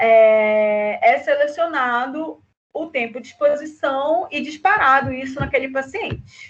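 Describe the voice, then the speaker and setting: A woman's high-pitched voice. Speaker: university lecturer. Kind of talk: online lecture.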